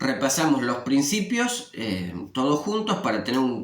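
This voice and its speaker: The pace of speech is fairly slow. Noticeable background noise and audible room echo are present. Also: man. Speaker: religious study teacher. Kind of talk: scripture lesson. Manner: conversational with filler eh.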